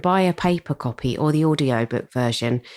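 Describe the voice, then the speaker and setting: A woman with a British accent speaks at a very deep, low pitch, her voice swinging very widely in pitch. The sound is dry and close, with no echo. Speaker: gardening podcast host. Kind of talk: scripted podcast talk.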